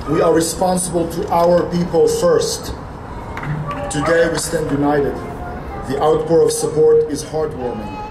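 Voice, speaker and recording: Music plays in the background as a man speaks at a moderate pace. He leaves long, frequent pauses. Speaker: rally speaker, Israel advocate. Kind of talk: impassioned rally speech, pleading for support. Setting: outdoors on capitol steps, crowd. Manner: fiery and defiant, punchy rhetorical questions; pleading, emphatic repetition. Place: street. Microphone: podium.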